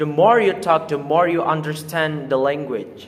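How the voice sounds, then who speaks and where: A man speaks with an Indonesian accent at a fairly high pitch. His pace is fairly slow, and his pitch variation is ordinary. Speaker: student presenter. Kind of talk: oral presentation.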